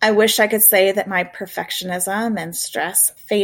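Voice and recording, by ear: With fairly even intonation, a passage is read aloud in a natural voice.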